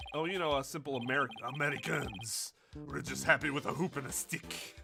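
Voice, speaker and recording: In a raspy, put-on character voice, a man speaks at a fairly quick pace, raised and projected at a fairly high pitch. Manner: wry, a little smug.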